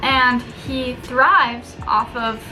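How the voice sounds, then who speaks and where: A woman with a high voice speaks amid audible room echo, with music in the background. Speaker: student vlogger. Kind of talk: casual vlog / video essay. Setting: room with a window at work.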